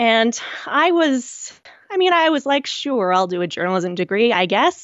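A woman with a Canadian accent, a fairly slow pace and very wide pitch swings. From Canada, rural Nova Scotia. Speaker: book designer and self-published author. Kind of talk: interview. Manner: casual with frequent fillers.

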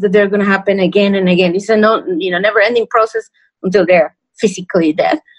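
Her pitch medium and its variation ordinary, a woman speaks with a Spanish accent. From Mexico. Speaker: podcast co-host. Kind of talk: casual chat. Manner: animated.

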